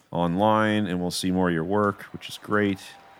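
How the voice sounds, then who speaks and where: Recorded very cleanly over a silent background, a man with an ordinary speaking voice and fairly low pitch talks at a moderate pace with fairly even intonation. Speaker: podcast host interviewer. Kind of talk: casual interview chat.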